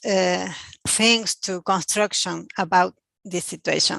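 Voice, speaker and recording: A woman speaks very slowly in a Spanish accent, her pitch medium. The background is quiet. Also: dry, close sound with no echo. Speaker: international partner. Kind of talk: closing remarks. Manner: halting.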